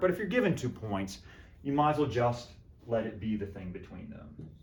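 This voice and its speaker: Fairly quick male speech with very wide pitch swings and audible room echo. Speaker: math professor. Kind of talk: lecture. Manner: animated.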